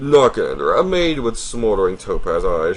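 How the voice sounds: At a moderate pace, a man talks with big pitch swings.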